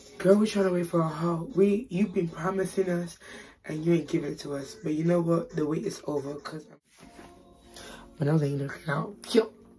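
Music plays in the background as a woman talks at a fairly quick pace with ordinary pitch variation. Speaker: YouTube haul vlogger. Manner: whispering, late at night.

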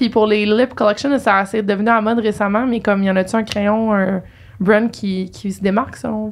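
The speaker is a woman with a fairly high pitch. She keeps a moderate pace and ordinary pitch variation. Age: 20s. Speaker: podcast host. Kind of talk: casual interview chat. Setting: studio. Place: studio. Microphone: studio mic.

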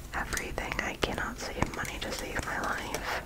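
A woman whispers in a soft-spoken way at a fairly slow pace. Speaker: hobby creator. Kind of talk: casual vlog chat. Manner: soft close ASMR whisper. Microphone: phone near.

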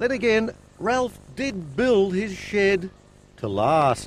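This man talks at a very slow pace with a high pitch. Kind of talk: TV documentary narration.

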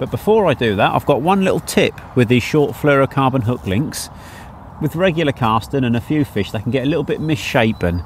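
Speaking at a fairly quick pace, a man with a medium pitch uses lively intonation.

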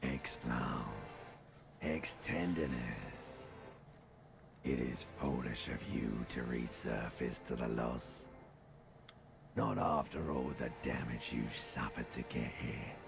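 With clear background noise behind him, a man puts on a raspy character voice, speaking at a fairly slow pace with long, frequent pauses. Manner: ominous, tempting.

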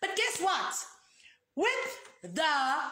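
The voice is raised and projected, moving very slowly with very wide pitch swings, amid light background noise and audible room echo. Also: woman. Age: 30s. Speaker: foundation founder. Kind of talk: live video product demonstration. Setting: live video stream. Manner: animated. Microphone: phone near.

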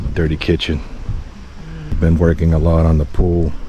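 A man at a moderate pace, monotone and flat, in a dry sound with no echo over noticeable background noise. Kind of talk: casual vlog chat. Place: open country. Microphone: phone near.

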